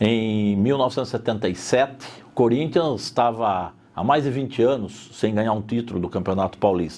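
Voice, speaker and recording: This man has an ordinary speaking voice at a medium pitch, talking at a moderate pace with ordinary pitch variation and hardly any pauses. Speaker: interviewee in documentary. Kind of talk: interview testimony.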